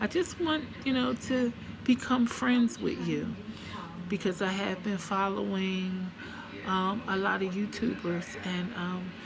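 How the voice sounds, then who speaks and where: Over noticeable background noise, the speaker talks at a very slow pace with ordinary pitch variation. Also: woman, medium pitch for a woman. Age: 60s. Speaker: beauty vlogger. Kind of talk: makeup product review vlog. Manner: hesitant, many fillers.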